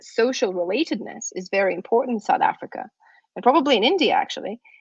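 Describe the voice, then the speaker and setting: Speaking very fast with a Russian accent, a woman uses a high pitch and very wide pitch swings, with a dry, close sound and no echo. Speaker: university lecturer in psychology. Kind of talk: lecture.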